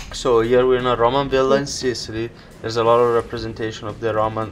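Over background music, a man talks fairly quickly at a medium pitch in a flat, monotone way. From Italy. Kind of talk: travel vlog voiceover.

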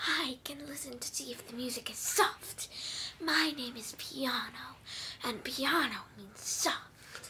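A cartoonish character voice, female-sounding, whispering at a fairly slow pace. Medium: puppet. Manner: soft.

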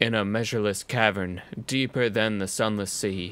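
A man puts on a character voice with a solemn tone and a fairly low pitch, recorded very cleanly against a silent background. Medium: virtual streamer. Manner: solemn, ominous, grandiose.

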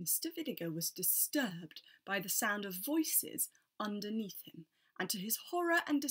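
The reading aloud is plain, set against a quiet background.

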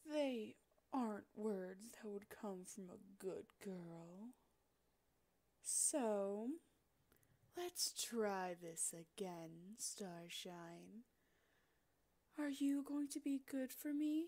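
A woman uses a put-on character voice at a medium pitch. She speaks very slowly, with long pauses that come often. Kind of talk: roleplay audio, yandere villain. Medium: audio drama. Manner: teasing, sweetly menacing, possessive.

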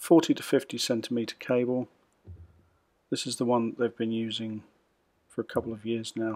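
A man with a medium pitch talks at a fairly quick pace in a monotone, flat delivery, leaving long, frequent pauses. The sound is dry and close with no echo, on a very clean recording with a silent background. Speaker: tech reviewer. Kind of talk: unboxing tutorial. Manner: casual.

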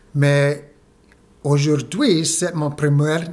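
With fairly even intonation, a man speaks at a fairly high pitch. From United States, Mexican-Guatemalan family. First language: English and Spanish (speaking French). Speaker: French learner vlogger. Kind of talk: video diary monologue. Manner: halting, hesitant. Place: home room. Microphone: phone near.

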